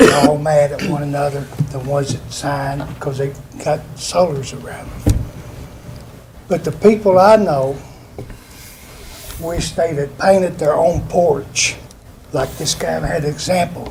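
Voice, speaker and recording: A man with an American accent at a fairly high pitch, ordinary pitch variation, a fairly slow pace and long, frequent pauses, amid noticeable background noise. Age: 70s. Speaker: retired factory worker speaking at public hearing. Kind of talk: public comment at planning meeting.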